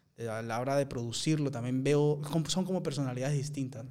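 A man with fairly high pitch and ordinary pitch variation speaks in an unremarkable speaking voice. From Peru. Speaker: actor. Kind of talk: casual interview conversation.

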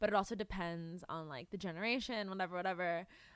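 A woman is heard on a very clean recording where the background is silent. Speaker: podcast co-host. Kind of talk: casual chat. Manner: soft-spoken.

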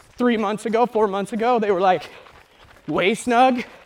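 A man with an American accent, high-pitched, with ordinary pitch variation at a moderate pace over noticeable background noise. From rural Utah. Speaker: realtor and running podcast host. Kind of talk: casual chat on a trail run. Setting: outdoors on a trail.

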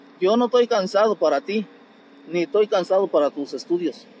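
With lively intonation and a fairly quick pace, a man talks over noticeable background noise. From Querétaro, Mexico (from age 9; born in Guanajuato sierra). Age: 60s. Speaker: street vendor and bricklayer. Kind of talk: casual interview. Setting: outdoors at his street stall.

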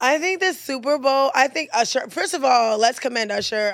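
A woman talks at a very fast pace in an animated, playful tone. The recording is very clean, with a silent background. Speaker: podcast host. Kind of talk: casual banter, comedic chat. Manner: animated, playful, excitable.

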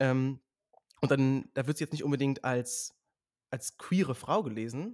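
Medium-pitched male speech with ordinary pitch variation and a dry, close sound with no echo. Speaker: author and social media creator. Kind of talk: casual chat. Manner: fast.

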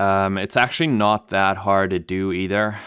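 The recording is very clean, with a silent background. A man talks at a moderate pace in a fairly low pitch. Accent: German. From Namibia. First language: German. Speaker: pilot and video creator. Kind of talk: interview. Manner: hesitant with many fillers.

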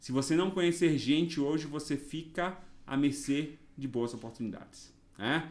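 With a Bahian accent, a man speaks at a fairly high pitch amid audible room echo. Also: ordinary pitch variation, moderate pace. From Bahia, Brazil (Ilhéus region). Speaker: nurse and nursing council president. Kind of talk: podcast interview.

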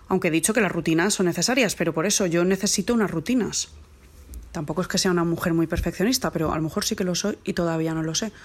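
Very fast and very even in loudness, a woman speaks at a fairly low pitch with ordinary pitch variation on a very clean recording with a silent background. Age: 40s. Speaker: mother recording a lockdown diary. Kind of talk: personal monologue.

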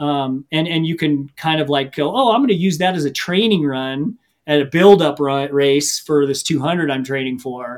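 With an American accent, an unremarkable speaking voice moves at a moderate pace with ordinary pitch variation and hardly any pauses. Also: man, fairly high pitch for a man. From US Midwest, Missouri. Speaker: ultra runner and coach. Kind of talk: casual interview.

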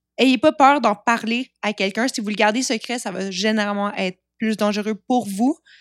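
A woman's fairly high voice at a moderate pace with ordinary pitch variation, dry and close with no echo, in a very clean recording with a silent background. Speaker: former sex worker. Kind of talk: casual interview.

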